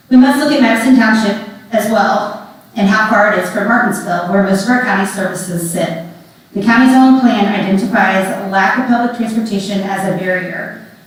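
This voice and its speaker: Amid noticeable background noise and audible room echo, a woman with an American accent speaks at a fairly quick pace with fairly even intonation. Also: medium pitch for a woman. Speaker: public commenter, mental health counselor. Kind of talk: public comment at a hearing. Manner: loud.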